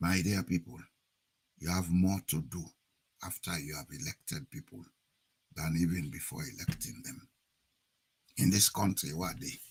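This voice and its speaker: A man's very deep, low voice with vocal fry, very wide pitch swings and big swings in loudness, at a moderate pace broken by long, frequent pauses. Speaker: political commentator. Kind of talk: political talk to an online audience.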